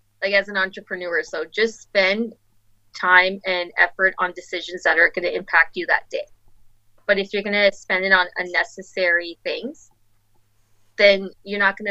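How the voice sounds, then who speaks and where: A woman with an Albertan accent has a bright, sharp tone and a monotone, flat intonation. She speaks at a moderate pace with big swings in loudness. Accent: Canadian (Alberta). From Calgary, Alberta. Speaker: boutique owner. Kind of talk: casual interview.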